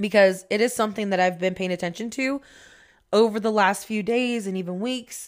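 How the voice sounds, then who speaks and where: On a very clean recording with a silent background, a woman with a medium pitch speaks in an animated tone at a fairly quick pace. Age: 20s. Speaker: podcast host. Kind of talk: casual solo monologue. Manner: animated, frequent laughter.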